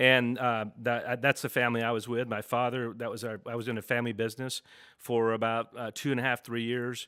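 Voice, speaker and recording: A man speaks in a Texas accent with a bright, sharp tone and monotone, flat intonation. The sound is dry and close with no echo, in a very clean recording with a silent background. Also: medium pitch for a man, fairly quick pace. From Texas, Dallas. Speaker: business owner. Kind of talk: interview. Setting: office studio.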